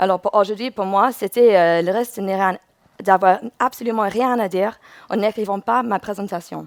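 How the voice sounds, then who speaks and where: With an English accent, the speaker talks at a moderate pace with ordinary pitch variation, in a very clean recording with a silent background and a dry, close sound with no echo. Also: woman. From England. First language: English (speaking French). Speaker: UX researcher. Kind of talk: conference talk. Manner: halting, with self-corrections.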